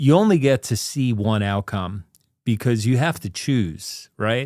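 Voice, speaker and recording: A man with an unremarkable speaking voice, medium pitch, and lively intonation, on a very clean recording with a silent background. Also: fairly slow pace. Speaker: podcast host. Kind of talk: podcast conversation.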